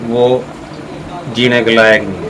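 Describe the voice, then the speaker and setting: A man at a medium pitch, with audible room echo and noticeable background noise. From Panipat, Haryana, India. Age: 60s. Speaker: relative of arrested man. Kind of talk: street interview.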